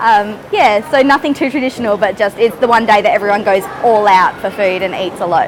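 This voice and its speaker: A woman's fairly high, lively voice in an Australian accent, fairly quick with hardly any pauses, over noticeable background noise. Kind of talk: interview answer. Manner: casual, chatty.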